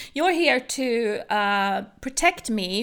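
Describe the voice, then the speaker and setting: Recorded very cleanly over a silent background, a woman with a British accent talks in a bright, sharp tone. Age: 40s. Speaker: social media strategist. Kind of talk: interview conversation.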